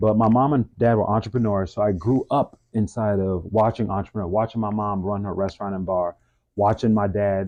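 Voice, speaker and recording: A man's fairly low-pitched voice with a Mid-Atlantic accent, fairly even intonation and a fairly quick pace. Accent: American, Mid-Atlantic. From US, DC-Maryland-Virginia area (Bowie, Maryland). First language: French. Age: 40s. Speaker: fitness business owner, stretch therapist. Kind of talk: interview, personal story.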